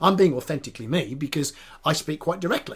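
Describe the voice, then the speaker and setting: A man talks at a fairly quick pace with lively intonation and vocal fry. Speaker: business coach and author. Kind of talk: podcast conversation.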